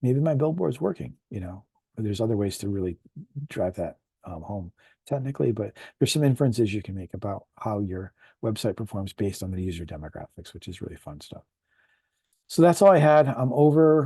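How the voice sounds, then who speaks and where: Here a man speaks at a fairly quick pace. His voice is somewhat breathy. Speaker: web marketing presenter. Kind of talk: webinar presentation. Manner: many filler ums.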